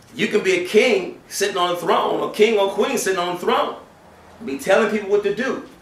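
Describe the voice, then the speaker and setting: A high-pitched man at a fairly quick pace, ordinary pitch variation, audible room echo around him. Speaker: preacher. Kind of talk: Friday sermon (khutbah). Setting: mosque during Friday prayer. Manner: animated, conversational preaching with rhetorical questions; earnest, exhortative. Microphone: camera far.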